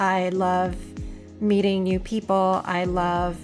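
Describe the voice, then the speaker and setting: With music in the background, a woman talks at a medium pitch. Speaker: convention-goer, introvert. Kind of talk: casual talk to camera.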